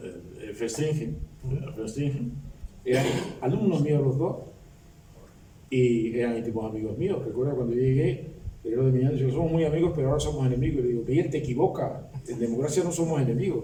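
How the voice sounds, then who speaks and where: A man talks at a medium pitch and a fairly quick pace, leaving long, frequent pauses. His pitch varies in an ordinary way, and there is audible room echo. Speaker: retired law professor and former politician. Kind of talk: book presentation speech. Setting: public academic event with audience. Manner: halting.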